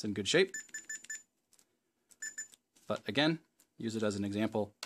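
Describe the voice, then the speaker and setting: Moderate pace from a man, light background noise behind. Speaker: hobbyist repair host. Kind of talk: tutorial. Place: workshop.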